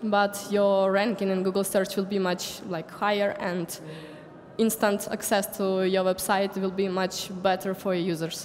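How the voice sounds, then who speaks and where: Speaking at a fairly slow pace in a monotone, flat way, a woman is heard over noticeable background noise. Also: medium pitch for a woman. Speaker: conference speaker. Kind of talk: lecture.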